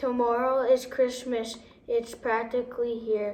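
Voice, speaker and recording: In a put-on character voice, a woman growls at a fairly slow pace, high-pitched and with monotone, flat intonation. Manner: snarling, sneering.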